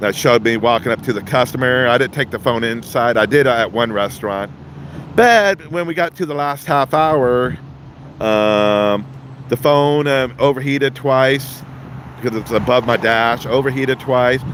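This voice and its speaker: Ordinary pitch variation shapes a man's speech, which is accompanied by noticeable background noise. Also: medium pitch for a man, moderate pace. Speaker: street scene livestreamer and delivery driver. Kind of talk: live commentary. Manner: loud; halting.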